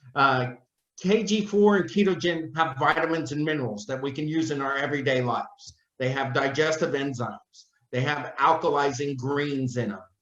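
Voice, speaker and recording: Audible room echo around a man's fairly high voice, with ordinary pitch variation at a moderate pace. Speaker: company product representative. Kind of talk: casual chat. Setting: video call.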